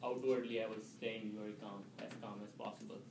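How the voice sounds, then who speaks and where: A man with an Indian accent at a moderate pace, with audible room echo. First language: Indian language. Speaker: public speaking club member. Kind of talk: storytelling speech. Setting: club meeting with audience. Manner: halting.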